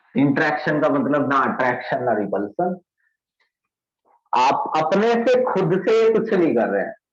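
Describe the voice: Strong room echo fills the sound as a man at a medium pitch talks at a fairly slow pace with big pitch swings.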